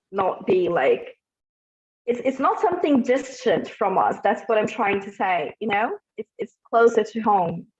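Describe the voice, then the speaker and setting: Recorded dry and close with no echo, a woman with an ordinary speaking voice talks at a moderate pace with ordinary pitch variation. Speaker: psychologist and gestalt therapist. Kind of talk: talk to an online group.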